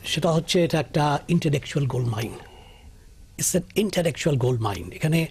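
Using lively intonation, a man with a fairly high pitch speaks with vocal fry. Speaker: professor and former university vice-chancellor. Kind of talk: panel discussion.

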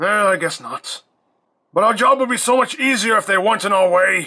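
Using a put-on character voice, a man talks at a fairly quick pace in a high pitch. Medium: audio drama.

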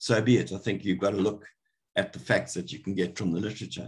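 Vocal fry runs through this man's speech. He talks at a fairly quick pace with lively intonation. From Zimbabwe. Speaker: botany professor. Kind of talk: lecture. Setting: video call. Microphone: webcam.

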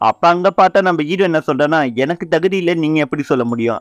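A man speaks in an unremarkable speaking voice at fairly high pitch with ordinary pitch variation. The sound is dry and close, with no echo. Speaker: anime story narrator. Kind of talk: casual anime episode recap.

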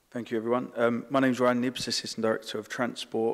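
A man is speaking. His pace is very fast. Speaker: council transport officer. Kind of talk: formal presentation to a panel. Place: meeting room. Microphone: podium.

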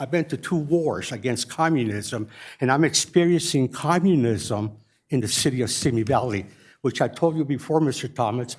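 A plain, everyday voice from a man, medium in pitch with ordinary pitch variation, moderate pace, very clean recording and silent background. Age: 60s. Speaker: war veteran speaking at public comment. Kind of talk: public comment. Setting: city council chamber.

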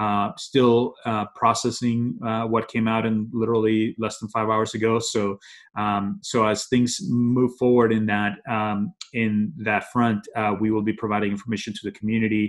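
A man at a moderate pace, fairly low in pitch, with little pitch movement

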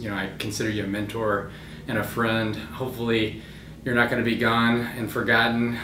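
A man speaks at a fairly quick pace in a fairly low pitch with a flat, monotone delivery. Noticeable background noise runs under his voice. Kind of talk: casual tribute message. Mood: warm, nostalgic, lightly amused. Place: office.

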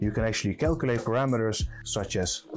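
A man talks at a fairly quick pace with clear music in the background. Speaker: presenter. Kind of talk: product presentation. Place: studio.

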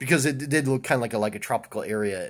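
At a fairly quick pace, a man speaks with ordinary pitch variation over a quiet background. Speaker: vlogger. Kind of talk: casual vlog chat. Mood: relaxed, cheerful. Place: home room. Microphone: phone near.

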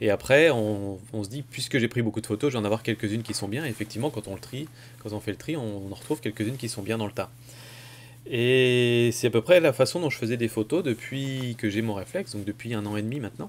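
Ordinary pitch variation colors a man's speech as he talks at a very fast pace. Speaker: photography vlogger. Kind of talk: casual vlog chat.

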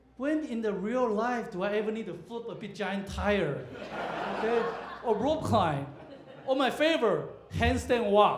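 Amid noticeable background noise, a man with a high pitch and lively intonation speaks fairly slowly, with long, frequent pauses. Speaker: comedian. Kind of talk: stand-up comedy set at a comedy club. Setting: stage with audience. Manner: storytelling build-ups punctuated by abrupt punchlines; halting, filler-heavy delivery with frequent uhs and restarts. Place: stage.

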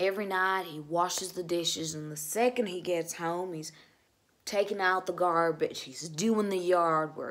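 It is a normal speaking voice at a moderate pace, with fairly even intonation. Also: woman, fairly low pitch for a woman. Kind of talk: dramatic monologue. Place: home room. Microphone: phone near.

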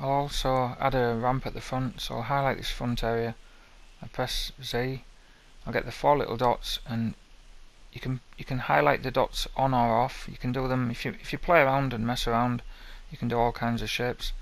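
A man speaks at a moderate pace in a flat monotone. The sound is dry with no echo. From Northern England. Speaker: game level-building tutorial maker. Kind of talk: screen-recorded software tutorial narration. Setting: headset microphone, low quality. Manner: casual, hesitant, repeats words. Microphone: headset.

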